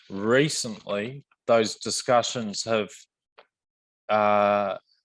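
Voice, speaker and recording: Speaking very slowly with long, frequent pauses, a man with an Australian accent keeps a fairly low pitch and fairly even intonation. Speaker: mining company executive. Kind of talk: panel presentation and Q&A. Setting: virtual roundtable, online call. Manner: halting, many repetitions and fillers.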